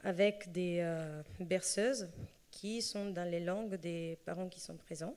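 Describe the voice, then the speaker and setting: A woman speaks with a slight Italian accent and a dark, mellow tone. Her pitch is medium and her intonation fairly even. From Italy. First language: Italian (speaking French). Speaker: association speaker on early childhood languages. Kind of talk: conference talk. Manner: hesitant, many fillers.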